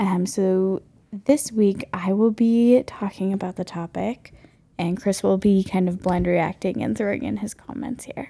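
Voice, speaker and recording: A woman speaks in a dark, mellow tone with an American accent. Her pace is fairly slow and her pitch variation ordinary. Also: medium pitch for a woman. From North Carolina. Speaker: podcast co-host. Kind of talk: casual chat.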